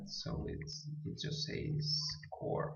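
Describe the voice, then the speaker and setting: Speaking at a very slow pace with a non-native accent, a man with a fairly high pitch sounds somewhat breathy amid audible room echo. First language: not English. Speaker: programming tutorial maker. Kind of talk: tutorial. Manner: halting.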